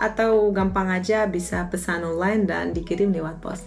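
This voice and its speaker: A woman's medium-pitched voice with fairly even intonation, noticeable background noise and audible room echo. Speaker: YouTuber, lecturer. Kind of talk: Q&A vlog.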